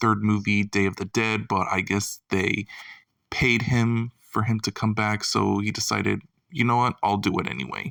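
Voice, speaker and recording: On a very clean recording with a silent background and a dry, close sound with no echo, a soft-spoken man with a fairly low pitch talks at a moderate pace. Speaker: YouTube film commentator. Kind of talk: casual video commentary. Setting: home at night. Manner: quiet, soft-spoken.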